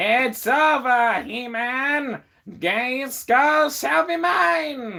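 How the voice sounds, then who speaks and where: A put-on character voice with fairly high pitch moves at a very slow pace. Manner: dramatic, villainous.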